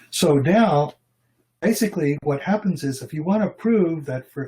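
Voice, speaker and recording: The tone of this man's voice is dark and mellow. It also comes across somewhat breathy. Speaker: logician and philosophy researcher. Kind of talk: academic lecture. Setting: online video presentation.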